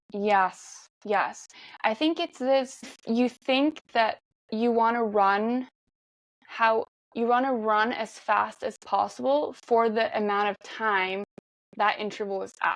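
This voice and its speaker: At a very slow pace, a woman with a Norwegian accent speaks in a fairly high pitch with ordinary pitch variation. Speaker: marathon runner. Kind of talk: podcast interview.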